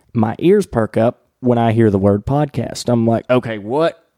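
Someone with a Southern US accent speaks at a moderate pace. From US South. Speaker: podcast host. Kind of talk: casual interview. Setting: in person at a coworking space.

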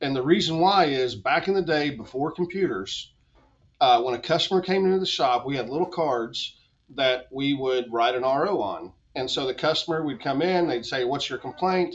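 Lively intonation runs through an ordinary speaking voice delivered at a moderate pace. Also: man, fairly high pitch for a man. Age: 40s. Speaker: automotive business consultant. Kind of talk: podcast interview.

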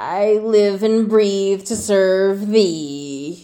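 A female-sounding voice is put on as a croaky character. The pitch sits in the medium range for a woman. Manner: slimy and sarcastic.

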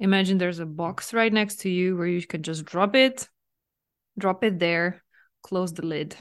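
A woman with an unremarkable speaking voice, medium pitch and ordinary pitch variation, over a quiet background. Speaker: mental fitness coach and podcast host. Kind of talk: guided visualization meditation, gently leading listener inward. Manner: soft, soothing, slow invitations with frequent light laughs; warm, nurturing, reassuring tone toward listener.

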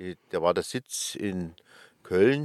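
In a very clean recording with a silent background, a man with a Bavarian accent speaks with ordinary pitch variation in a dry, close sound with no echo. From Upper Bavaria, Schliersee. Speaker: ski lift company manager. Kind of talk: interview. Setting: recording bus.

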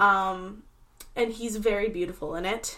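At a fairly slow pace, a woman with a fairly high pitch speaks in an ordinary speaking voice. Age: 20s. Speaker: podcast host. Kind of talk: casual chat.

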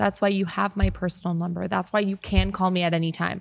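Speaking at a medium pitch and a fairly quick pace, a woman sounds animated. The recording is very clean, with a silent background. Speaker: podcast host. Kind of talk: casual chat. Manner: animated, laughing.

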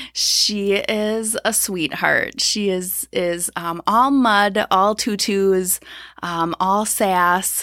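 A woman with an Upper Midwest accent, medium pitch, bright and sharp tone, and fairly even intonation, on a very clean recording with a silent background. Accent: Upper Midwest American. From Minnesota, Twin Cities. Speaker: counselor. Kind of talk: casual interview. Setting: studio, early morning.

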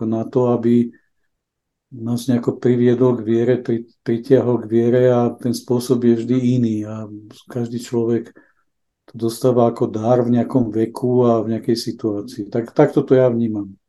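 A man speaks at a moderate pace with a dark, mellow tone. His medium pitch stays monotone and flat. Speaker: innovation expert and charity volunteer. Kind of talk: interview about faith. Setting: remote digital link.

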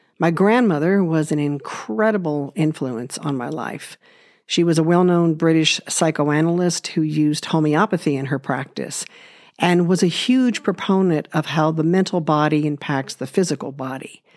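A woman's very deep, low voice with a West Coast US accent, at a moderate pace with ordinary pitch variation. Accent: General American (West Coast). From Los Angeles, US. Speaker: podcast host, natural healing. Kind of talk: personal monologue.

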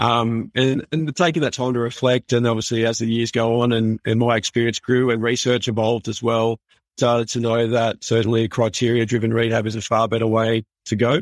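A man's medium-pitched voice in an Australian accent, fairly quick and monotone with flat intonation, the sound dry and close with no echo. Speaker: physiotherapist. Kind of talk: interview.

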